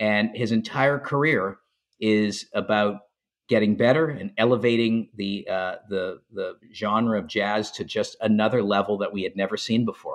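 This man has a normal speaking voice and a fairly low pitch. He talks at a moderate pace with fairly even intonation. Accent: Canadian. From Montreal, Canada. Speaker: documentary filmmaker. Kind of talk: interview.

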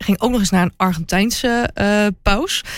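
A woman has an ordinary speaking voice with a medium pitch and ordinary pitch variation. She speaks fairly slowly in a very clean recording with a silent background. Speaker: royalty reporter and TV presenter. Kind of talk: casual chat.

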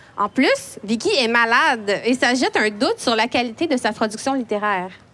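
A woman's bright, sharp voice sits high in pitch, moving at a moderate pace with lively intonation. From Quebec, Montreal. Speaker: poet and children's author, editor. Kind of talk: prepared talk read aloud. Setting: library event with live audience.

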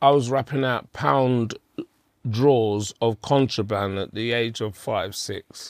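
Speaking very slowly with a London accent, a man uses a medium pitch and ordinary pitch variation, the sound dry and close with no echo. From Hackney, London. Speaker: life coach. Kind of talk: interview conversation.

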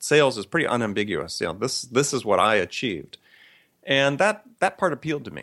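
Medium-pitched male speech in an American accent with vocal fry and very wide pitch swings, on a very clean recording with a silent background. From US Midwest (Madison, Wisconsin). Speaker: sales author and consultant. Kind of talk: interview.

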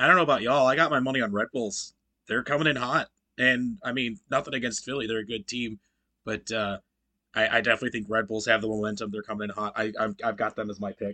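A man's very fast delivery, medium pitch and bright, sharp tone, with fairly even intonation. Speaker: podcast co-host. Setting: remote call.

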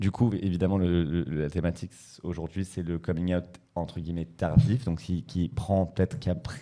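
A man's very deep, low voice with a dark, mellow tone, ordinary pitch variation and a fairly quick pace. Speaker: podcast host. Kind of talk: casual chat.

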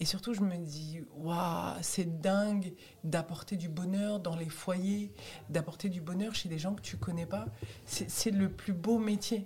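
A woman speaks at a very slow pace and medium pitch, her tone dark and mellow and somewhat breathy. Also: ordinary pitch variation. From Tunisian heritage, raised in France. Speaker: stand-up comedian. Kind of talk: casual interview chat.

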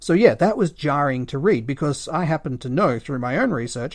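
On a very clean recording with a silent background, a man with an Australian accent speaks at a moderate pace in a fairly high pitch with lively intonation. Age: 30s. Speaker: history podcaster. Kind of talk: solo history monologue. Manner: casual, conversational.

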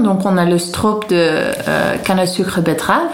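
A woman at a medium pitch with a Dutch accent and ordinary pitch variation, amid audible room echo and noticeable background noise. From Netherlands, Haarlem. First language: Dutch (speaking French). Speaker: Dutch expatriate guest. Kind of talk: casual food interview. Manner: halting.

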